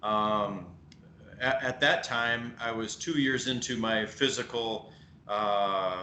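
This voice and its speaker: A man with a Midwestern American accent, medium pitch, a very slow pace and fairly even intonation, plus audible room echo. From US Midwest. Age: 40s. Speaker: strength equipment maker. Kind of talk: podcast interview.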